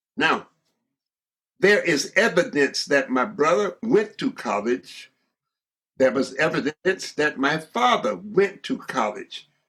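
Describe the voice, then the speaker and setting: With a Southern US accent, a man speaks at a very slow pace in a high, bright, sharp voice that swings very widely in pitch. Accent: Southern American English. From Georgia, USA. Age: 80s+. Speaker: surgeon, educator and civil rights leader. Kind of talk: interview answer.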